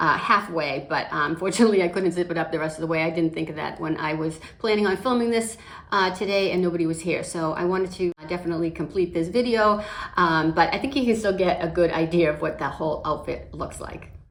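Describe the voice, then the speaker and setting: Rushing at a very fast pace, a woman with a fairly low pitch is heard over noticeable background noise. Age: 60s. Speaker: makeup vlogger. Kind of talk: tutorial. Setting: at home. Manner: casual, conversational with fillers.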